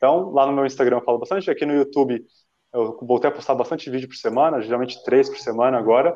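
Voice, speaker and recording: Speaking at a very fast pace, a man with a fairly high pitch and a dark, mellow tone keeps his intonation fairly even while his loudness swings widely. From Brazil, Santo André (São Paulo). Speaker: runner, former track athlete. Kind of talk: interview on live stream. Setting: live online stream.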